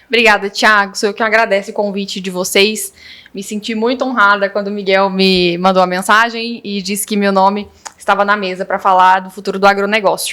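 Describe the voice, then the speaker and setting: Flat, monotone intonation shapes this woman's delivery. She moves through her words fairly quickly. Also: medium pitch for a woman. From Rio Verde, Goiás, Brazil. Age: 20s. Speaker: agronomy student. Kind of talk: interview.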